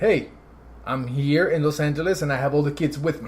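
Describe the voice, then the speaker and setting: A man with an American accent speaks in a fairly high, somewhat breathy voice. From Guatemala, then Brooklyn and New Jersey. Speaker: entrepreneur. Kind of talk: podcast interview, life story. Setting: at home after dinner.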